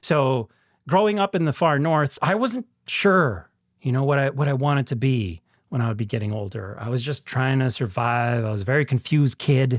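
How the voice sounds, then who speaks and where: On a very clean recording with a silent background and a dry, close sound with no echo, a man with a Canadian prairie accent speaks at a moderate pace and medium pitch with lively intonation. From rural northern Saskatchewan, Canada. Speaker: actor and podcast host. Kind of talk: casual monologue.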